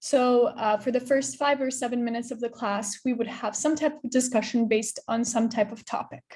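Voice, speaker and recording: A woman speaks at a high pitch with fairly even intonation. She hardly pauses. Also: fairly quick pace. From Transnistria, then Chicago suburbs as a teen. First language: Russian. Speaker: English teacher. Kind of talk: presentation to teachers. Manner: informal, with many fillers.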